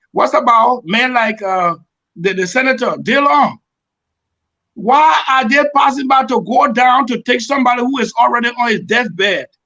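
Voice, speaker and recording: In a raised, projected voice, a man speaks at a moderate pace and an extremely high pitch. His tone is bright and sharp, with ordinary pitch variation. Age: 60s. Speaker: presidential candidate. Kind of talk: panel debate.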